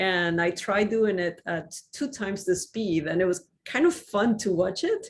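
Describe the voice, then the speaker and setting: Speaking at a fairly slow pace, a woman with a Spanish accent keeps a medium pitch with ordinary pitch variation. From Mexico, Cuernavaca. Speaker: university astronomy professor. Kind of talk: lecture.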